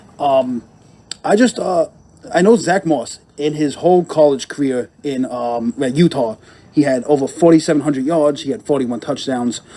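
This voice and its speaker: A man is speaking in a fairly high voice. His tone is dark and mellow. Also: ordinary pitch variation, moderate pace. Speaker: fantasy sports podcast co-host. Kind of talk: casual podcast chat. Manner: halting, with many fillers.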